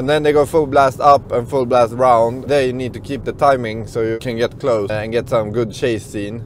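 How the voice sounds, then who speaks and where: Over light background noise, a man speaks at a moderate pace with fairly even intonation and hardly any pauses, in a dry sound with no echo. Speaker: vlogger drone pilot. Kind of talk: casual vlog chat. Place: car. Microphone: lapel.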